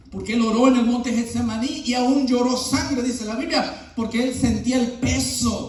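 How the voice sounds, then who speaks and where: With music in the background and audible room echo, a man speaks at a fairly slow pace and an extremely high pitch in a monotone, flat intonation. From Latin America, moved to US at 16. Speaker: pastor. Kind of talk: sermon.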